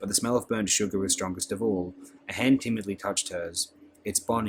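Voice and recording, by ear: The clip features reading aloud. The speaker's voice is natural.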